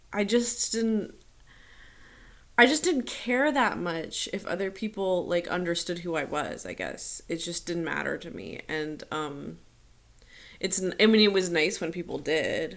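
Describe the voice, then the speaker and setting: A woman with vocal fry speaks at a fairly slow pace, her intonation lively. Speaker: vlogger. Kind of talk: personal vlog talk. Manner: hesitant, many fillers.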